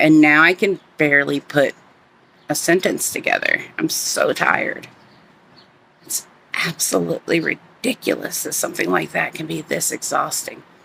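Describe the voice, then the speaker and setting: A put-on character voice comes through raspy. It moves at a moderate pace. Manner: weary, barely coherent.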